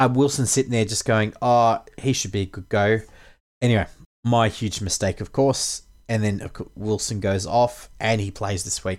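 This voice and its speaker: A man with an Australian accent, medium in pitch, at a moderate pace with fairly even intonation. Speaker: fantasy sports podcast host. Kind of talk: casual podcast chat about fantasy league.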